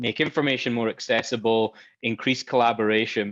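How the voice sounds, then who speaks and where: A man in a Scottish accent at a fairly quick pace. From Scotland. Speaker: software company expert. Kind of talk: panel interview. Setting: virtual event.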